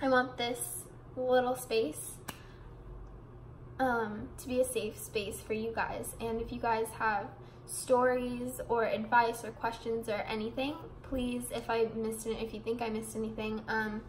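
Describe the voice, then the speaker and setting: In a room with audible echo, a woman with a fairly high, somewhat breathy voice speaks fairly slowly in a flat monotone. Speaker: vlogger. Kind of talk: casual vlog monologue. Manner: rambling, mumbling.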